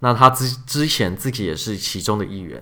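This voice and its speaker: The man's voice has a bright, sharp tone and ordinary pitch variation. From Taiwan. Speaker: podcast host, software engineer. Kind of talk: casual chat.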